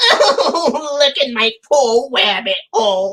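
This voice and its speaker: A put-on character voice, high in pitch, delivers its lines at a very slow pace. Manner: crying, distressed.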